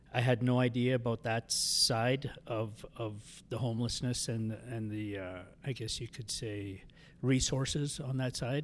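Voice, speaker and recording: A man with a Canadian accent uses an ordinary speaking voice at medium pitch, talking at a fairly slow pace with fairly even intonation. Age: 50s. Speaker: addiction recovery housing director. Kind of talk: interview, personal testimony. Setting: studio.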